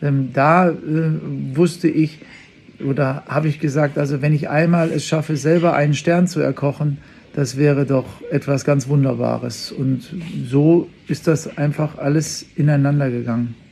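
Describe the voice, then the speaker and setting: Delivery runs at a moderate speed. Intonation barely rises or falls. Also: man, fairly high pitch for a man. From western Germany (Unna, Ruhr area). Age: 50s. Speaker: chef. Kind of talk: interview. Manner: hesitant, frequent fillers.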